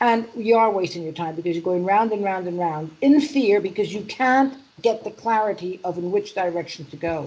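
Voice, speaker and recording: This woman speaks with a New York accent. Her pitch varies in an ordinary way. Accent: New York accent, still there. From US Northeast, Manhattan New York. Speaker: EFT practitioner and mindset coach. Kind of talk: interview.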